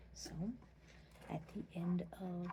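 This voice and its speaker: Soft-spoken, a woman delivers the lines. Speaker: mother. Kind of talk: ASMR tutorial talk to camera.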